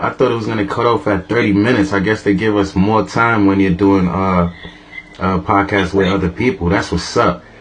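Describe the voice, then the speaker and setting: A man's fairly low voice with ordinary pitch variation, amid noticeable background noise. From New York, the Bronx. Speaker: podcast host. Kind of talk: casual chat.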